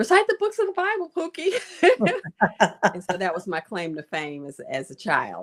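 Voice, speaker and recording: Dry and close with no echo, this recording has a woman speaking in a Memphis accent. She talks at a moderate pace. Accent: Southern US (Memphis). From US South, Memphis. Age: 70s. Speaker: physician and author. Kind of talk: interview.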